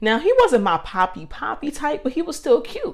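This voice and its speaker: Animated and fairly quick, a woman's voice swings very widely in pitch. The recording is very clean, with a silent background. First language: not Spanish (English). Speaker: podcast host. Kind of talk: casual monologue storytelling.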